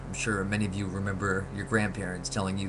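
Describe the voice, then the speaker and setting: The man's voice sits at a fairly low pitch. Noticeable background noise and audible room echo fill the recording. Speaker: vlogger, soap opera fan. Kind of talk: casual webcam monologue. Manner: fast; hesitant, many fillers.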